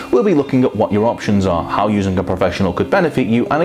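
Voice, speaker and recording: A man with a fairly low pitch talks over clear music in the background. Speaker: presenter. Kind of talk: scripted promotional explainer. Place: studio. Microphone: lapel.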